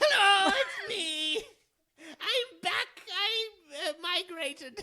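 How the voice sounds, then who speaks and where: A man's squeaky, put-on character voice at an extremely high pitch and a very slow pace. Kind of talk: comic overacting. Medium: solo performance. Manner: pompous, theatrical.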